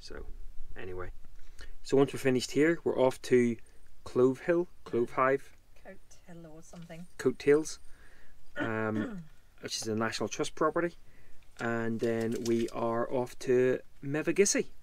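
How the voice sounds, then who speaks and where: A man speaks at a fairly slow pace with long, frequent pauses and big swings in loudness, the sound dry with no echo. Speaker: travel vlogger. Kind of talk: casual vlog chat. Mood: jokey, relaxed. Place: car. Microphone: phone near.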